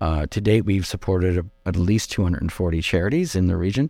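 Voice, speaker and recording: A man with a Canadian accent speaks with a very deep, low pitch and ordinary pitch variation. His tone is dark and mellow. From Quebec, Outaouais (West Quebec). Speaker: nonprofit executive director. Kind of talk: interview.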